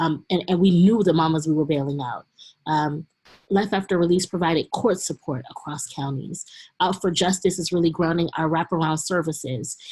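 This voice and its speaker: This is a woman with an unremarkable speaking voice, fairly low in pitch and ordinary in pitch variation. Her pace is moderate and the background is quiet. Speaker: community organizer. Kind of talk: webinar presentation.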